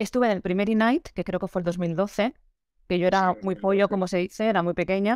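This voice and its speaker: With a quiet background and a dry sound with no echo, a woman talks at a fairly quick pace and fairly even intonation. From Valencia, Spain; Spain. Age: 30s. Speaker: photographer; interviewee. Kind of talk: interview. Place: home room. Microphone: video call.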